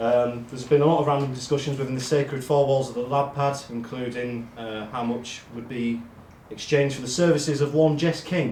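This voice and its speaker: A man with a medium pitch talks at a fairly quick pace with fairly even intonation. Audible room echo surrounds his voice. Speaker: amateur football team member giving awards speech. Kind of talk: speech at awards night. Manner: monotone.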